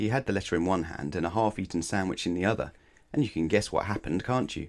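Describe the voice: A man talks at a fast pace in a low voice with ordinary pitch variation. The recording is very clean, with a silent background.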